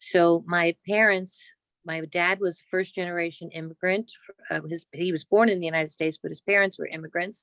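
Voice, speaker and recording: With a New Jersey accent, this voice moves at a moderate pace in a monotone, flat intonation, the sound dry and close with no echo. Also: woman, fairly low pitch for a woman. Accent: Jersey City. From New Jersey, Jersey City. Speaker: cancer surgeon. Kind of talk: oral history interview.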